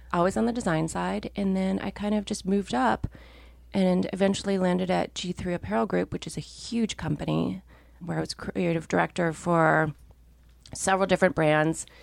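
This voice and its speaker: A woman with a normal speaking voice, in an American accent, fairly low in pitch, lively in intonation, at a moderate pace. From Minnesota. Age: 40s. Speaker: fashion designer and co-founder. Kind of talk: casual interview chat.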